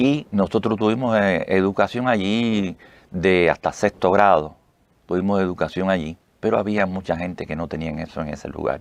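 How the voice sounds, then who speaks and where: A man with a Cuban accent talks at a moderate pace. His pitch is very deep and low, with ordinary variation. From Cuba, Pinar del Río. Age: 70s. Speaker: retired army officer, heart transplant association president. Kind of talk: interview. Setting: radio studio. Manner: halting.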